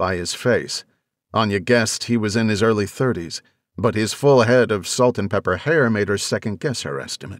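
Reading aloud in a natural voice with fairly even intonation, this speaker is heard against a quiet background.

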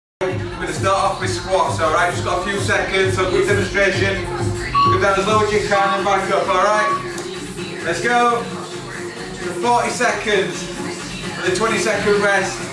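A man talks with audible room echo and clear music in the background. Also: moderate pace. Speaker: fitness instructor. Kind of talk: workout instruction. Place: gym.

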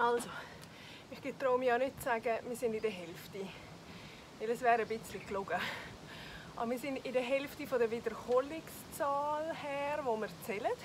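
Over noticeable background noise, a woman at a high pitch speaks at a moderate pace with ordinary pitch variation and long, frequent pauses. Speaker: fitness trainer. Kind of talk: workout instruction. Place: garden.

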